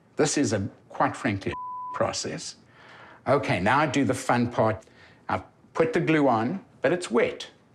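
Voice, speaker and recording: A man with a South African accent at a fairly slow pace, over noticeable background noise. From South Africa, Johannesburg. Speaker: patient. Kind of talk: testimony.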